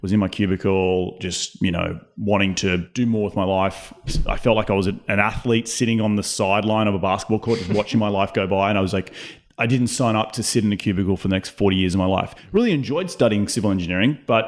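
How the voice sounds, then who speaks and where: Very fast and fairly even in intonation, a man speaks at a fairly low pitch. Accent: Australian. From Australia. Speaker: real estate investor. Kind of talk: casual interview chat. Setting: home studio.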